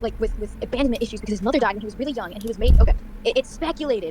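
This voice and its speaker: Amid noticeable background noise, a woman talks at a very fast pace with ordinary pitch variation. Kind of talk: casual rant about show lore. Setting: kitchen at home with people around. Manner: loud; fast, halting with many fillers.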